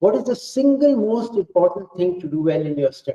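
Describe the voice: With a dark, mellow tone and big pitch swings, a man speaks at a high pitch and a fairly quick pace.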